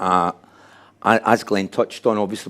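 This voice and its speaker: A man with a Glasgow accent speaks in a monotone, flat intonation. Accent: Scottish (Glasgow). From Scotland, Glasgow. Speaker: addiction recovery coordinator and speaker. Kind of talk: conference presentation. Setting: room with live and online audience.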